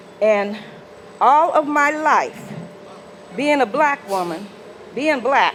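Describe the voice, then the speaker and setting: A woman with an American accent speaks with lively intonation over noticeable background noise. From US South, Mississippi. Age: 60s. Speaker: former city employee. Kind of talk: rally speech. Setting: outdoor rally.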